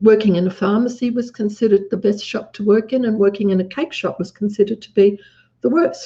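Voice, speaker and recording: Speaking in an Australian accent, the voice has a dark, mellow tone, is somewhat breathy, and shows ordinary pitch variation. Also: woman. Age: 70s. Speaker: businesswoman. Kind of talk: interview.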